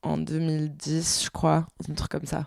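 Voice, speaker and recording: Speaking at a very slow pace, a woman is heard in a dry, close sound with no echo. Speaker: podcast co-host. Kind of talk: casual chat.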